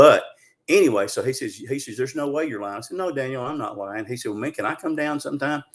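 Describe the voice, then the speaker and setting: A man with a Southern US accent talks at a very fast pace in a fairly high voice. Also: ordinary pitch variation. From Arkansas. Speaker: Bigfoot researcher. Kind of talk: interview storytelling. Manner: animated.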